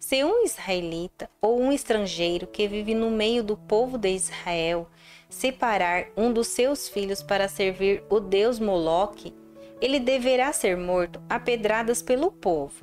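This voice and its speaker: A woman speaks at a fairly slow pace with very even loudness, ordinary pitch variation and a medium pitch, while music plays in the background. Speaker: Bible narrator. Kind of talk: audio Bible reading.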